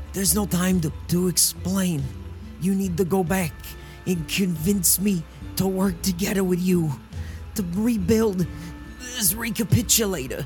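In a hoarse, put-on character voice at a middle pitch, the speaker goes at a moderate pace with long, frequent pauses over clear background music. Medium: actual play. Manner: gruff, urgent.

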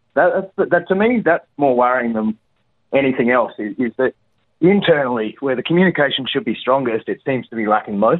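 A medium-pitched man with an Australian accent, lively intonation and a fairly quick pace. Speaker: caller. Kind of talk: casual chat. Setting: phone call. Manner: halting.

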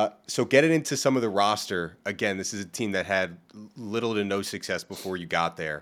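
Heard in a very clean recording with a silent background, a man with a plain, everyday voice talks at a fairly quick pace, his fairly low pitch moving in lively intonation. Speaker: podcast host. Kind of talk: casual interview chat.

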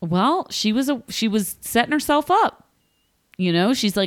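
On a very clean recording with a silent background, a woman speaks at a moderate pace with very wide pitch swings. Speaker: podcast co-host. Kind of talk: casual chat. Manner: laughs often.

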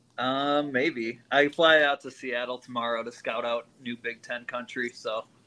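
A man speaks in a normal speaking voice at medium pitch and a moderate pace. His intonation stays fairly even, with hardly any pauses. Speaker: sports show panelist. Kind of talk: casual sports chat.

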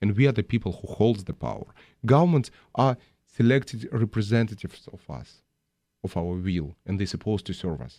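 A man with a Russian accent, fairly low in pitch and dark, mellow in tone, with lively intonation, big swings in loudness and a fairly quick pace, in a dry, close sound with no echo on a very clean recording with a silent background. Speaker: filmmaker. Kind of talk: interview.

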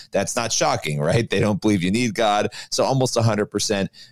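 With a fairly low pitch and lively intonation, this man has an unremarkable speaking voice. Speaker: co-host, news commentator. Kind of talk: casual news discussion.

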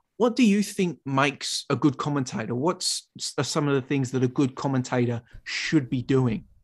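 Speech comes at a moderate pace with hardly any pauses. The background is quiet. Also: man, fairly high pitch for a man, ordinary pitch variation. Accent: Australian. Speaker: podcast host and commentator. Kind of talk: interview.

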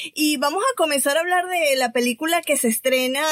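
A woman is talking. Background noise is noticeable behind her. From Venezuela. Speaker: podcast host. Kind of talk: casual chat; news reading.

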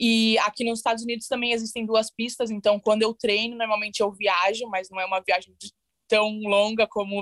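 In a dry, close recording with no echo, a woman with a fairly high voice speaks at a moderate pace in a monotone, flat delivery. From Brazil, São Paulo ABC region. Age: 20s. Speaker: bobsled athlete. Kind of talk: interview.

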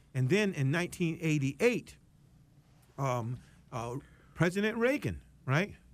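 A man with an American accent talks at a fairly slow pace, his pitch swinging very widely. Long pauses come often. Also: fairly high pitch for a man. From West Palm Beach, Florida. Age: 60s. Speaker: fair housing nonprofit executive. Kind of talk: interview. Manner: hesitant, frequent fillers.

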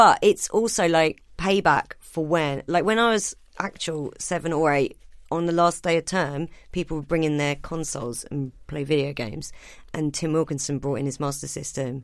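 Very deep and low in pitch, a woman speaks with an English accent on a very clean recording with a silent background. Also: ordinary pitch variation, moderate pace. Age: 30s. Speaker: stand-up comedian. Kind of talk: casual chat. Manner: animated.

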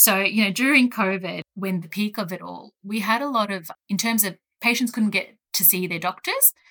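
A woman's bright, sharp voice with an Australian accent, medium in pitch, with ordinary pitch variation, a moderate pace and hardly any pauses. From Australia, rural Gippsland, Victoria. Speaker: pharmacist. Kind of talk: interview.

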